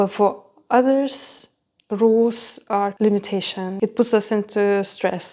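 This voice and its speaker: A woman with a non-native accent speaks at a fairly high pitch, her tone dark and mellow and her intonation fairly even. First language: not English. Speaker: cooking channel host, nutrition coach. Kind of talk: cooking talk to camera. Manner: hesitant, non-native phrasing.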